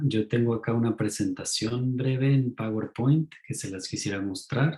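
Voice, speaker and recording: This man sounds somewhat breathy, with a dark, mellow tone. His pitch varies in an ordinary way. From Mexico. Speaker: ecopsychologist lecturer. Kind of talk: online talk.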